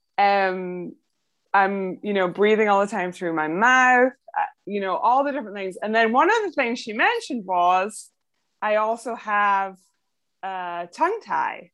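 Spoken in a Scottish accent, the voice moves at a fairly slow pace. Its pitch variation is ordinary. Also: woman, medium pitch for a woman. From Scotland. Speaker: podcast host and sleep apnea patient. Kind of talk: interview.

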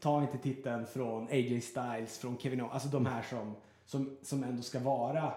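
The man's pitch is medium and his intonation monotone and flat, at a moderate pace. Noticeable background noise and audible room echo fill the recording. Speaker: radio host. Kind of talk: casual chat. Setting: in an apartment.

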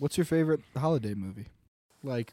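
A man speaks with an American accent at a moderate pace. His pitch variation is ordinary, and the sound is dry and close with no echo. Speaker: podcast co-host. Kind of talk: casual chat.

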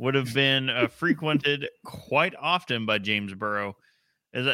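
The recording is plain reading aloud against a quiet background.

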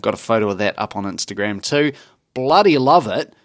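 Lively intonation in an unremarkable speaking voice, on a very clean recording with a silent background and a dry, close sound with no echo. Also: man. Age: 30s. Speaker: podcast co-host. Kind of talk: casual chat.

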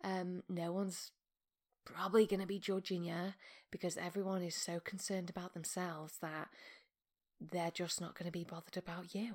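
On a very clean recording with a silent background, a woman talks fairly quickly in a plain, everyday voice at a medium pitch. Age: 30s. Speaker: podcast host and meditation teacher. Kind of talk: casual monologue.

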